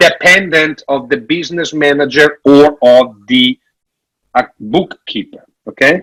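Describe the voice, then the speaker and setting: A man with an Italian accent speaks at a fairly slow pace, the sound dry and close with no echo. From Italy. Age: 50s. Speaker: financial advisor. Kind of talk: conference talk. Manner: loud; animated.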